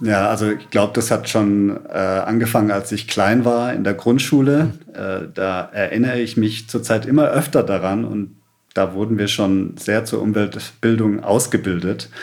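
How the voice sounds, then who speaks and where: A man's normal speaking voice, fairly low in pitch, at a moderate pace with ordinary pitch variation and hardly any pauses. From Stuttgart area, Germany (born in Sri Lanka, moved at four). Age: 30s. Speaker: environmental activist, founder of a cleanup network. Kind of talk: podcast interview.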